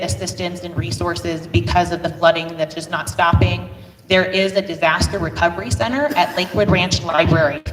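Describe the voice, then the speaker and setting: Over music in the background, a woman speaks loudly at a moderate pace with very wide pitch swings. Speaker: nonprofit co-founder. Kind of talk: public forum presentation. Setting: community meeting with audience.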